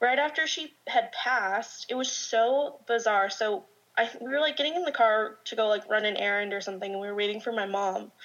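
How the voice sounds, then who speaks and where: The woman uses a fairly high pitch and ordinary pitch variation while noticeable background noise plays behind her. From Southern California, Orange County. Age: 20s. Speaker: makeup artist sharing paranormal stories. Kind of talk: casual chat, storytelling.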